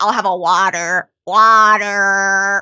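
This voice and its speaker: Putting on a character voice with an American accent, a female-sounding voice speaks at medium pitch with monotone, flat intonation. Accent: American, soft D in water. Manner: mocking imitation.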